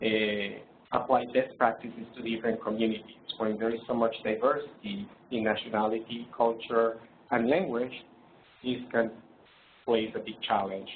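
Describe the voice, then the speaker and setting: Monotone, flat speech at a moderate pace with a non-native accent and audible room echo. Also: man, medium pitch for a man. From Colombia. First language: Spanish. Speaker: presenter. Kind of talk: lecture. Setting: webinar. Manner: hesitant, many fillers.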